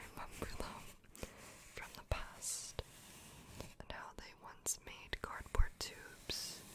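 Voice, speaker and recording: A soft-spoken woman whispering at a very slow pace against loud background noise. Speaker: ASMR creator. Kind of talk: soft-spoken ASMR chat. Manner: soft close whisper into microphone. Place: home room. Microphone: studio mic.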